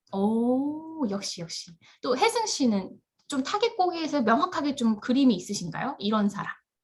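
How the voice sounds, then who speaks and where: Her voice high-pitched, a woman speaks with very wide pitch swings. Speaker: instructor. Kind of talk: online class lecture. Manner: fast.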